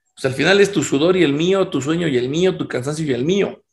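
With a fairly quick pace and ordinary pitch variation, a normal speaking voice is heard. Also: man. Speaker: podcast co-host. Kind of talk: casual chat.

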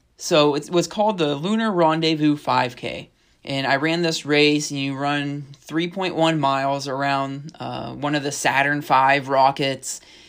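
In a very clean recording with a silent background, a man with an American accent and a fairly high pitch for a man talks at a fairly slow pace with fairly even intonation, hardly any pauses, and an unremarkable speaking voice. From northwestern Pennsylvania. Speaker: podcast co-host, fitness studio owner. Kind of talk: casual chat.

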